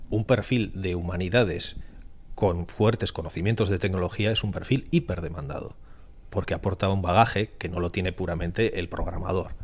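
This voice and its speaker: On a very clean recording with a silent background, a man with a very deep, low pitch talks at a fairly quick pace, somewhat breathy, with ordinary pitch variation. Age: 50s. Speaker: cybersecurity entrepreneur. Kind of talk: podcast interview.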